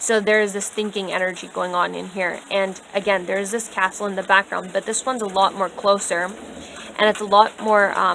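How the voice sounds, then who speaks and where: A woman's monotone, flat voice at a fairly quick pace, with noticeable background noise. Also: medium pitch for a woman. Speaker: tarot reader. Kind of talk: tarot reading to camera. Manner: casual, filler-heavy.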